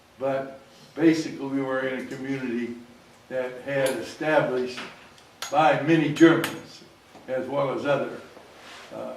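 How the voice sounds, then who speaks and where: In an American accent, a man speaks at a medium pitch and moderate pace with monotone, flat intonation, long, frequent pauses and big swings in loudness, amid audible room echo and noticeable background noise. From US Midwest, Quincy, Illinois. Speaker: audience member. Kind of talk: audience comment. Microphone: speaking without a microphone.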